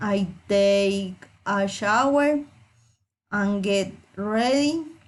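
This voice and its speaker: A woman speaks with a Colombian accent at a medium pitch. Her pace is very slow. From Colombia, Medellín (Antioquia). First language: Spanish. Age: 30s. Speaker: student. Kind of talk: reading aloud.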